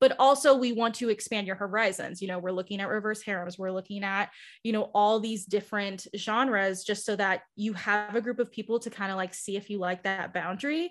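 Speaking with a plain, everyday voice, a woman at medium pitch moves at a fairly quick pace with hardly any pauses and ordinary pitch variation. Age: 20s. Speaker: book club organizer and content creator. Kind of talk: casual interview chat.

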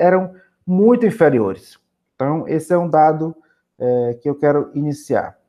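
Fairly slow in pace, a man speaks in a plain, everyday voice. His pitch is fairly high with ordinary pitch variation. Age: 40s. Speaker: politician and social worker. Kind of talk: interview.

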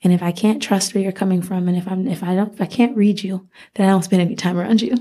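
Somewhat breathy, with a dark, mellow tone, a woman speaks in an American accent at a medium pitch with fairly even intonation. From Rochester, New York. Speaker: nonprofit workshop leader. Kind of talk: casual interview. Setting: studio.

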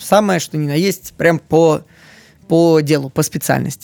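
The sound is dry and close with no echo as a man speaks in a high voice. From Moscow, Russia. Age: 30s. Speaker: video editor. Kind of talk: interview.

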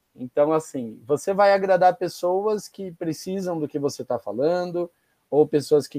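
A man with a dark, mellow tone speaks fairly slowly with lively intonation. The sound is dry and close with no echo against a quiet background. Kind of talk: casual chat. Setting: video call.

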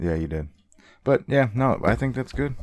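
A man talks with lively intonation. The recording is very clean, with a silent background. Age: 30s. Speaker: podcast co-host and novelist. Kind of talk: casual chat.

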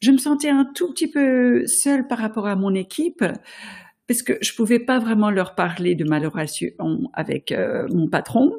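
Very wide pitch swings mark this moderate-paced delivery in a non-native accent, on a very clean recording with a silent background. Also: woman, fairly high pitch for a woman. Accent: noticeable foreign accent in French. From France and the US. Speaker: podcast host, leadership coach. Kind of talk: solo podcast monologue.

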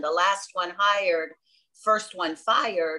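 A woman's bright, sharp tone at a very slow pace, with ordinary pitch variation. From South Florida, born on Long Island. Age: 50s. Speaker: travel agent. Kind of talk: casual interview. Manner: animated.

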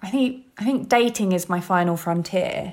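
Speaking with a London accent, a woman uses a medium pitch and ordinary pitch variation. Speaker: model and writer. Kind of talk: interview conversation. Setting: remote call.

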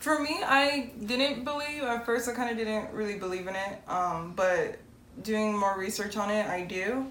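A woman's fairly high, lively voice at a moderate pace, with audible room echo and noticeable background noise. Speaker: podcast co-host. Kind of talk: casual chat. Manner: firm, assertive delivery.

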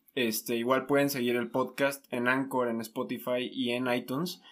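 A man with an unremarkable speaking voice talks at a fairly slow pace and a medium pitch, with fairly even intonation, on a very clean recording with a silent background. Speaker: podcast host. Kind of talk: casual chat. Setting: in person, same room.

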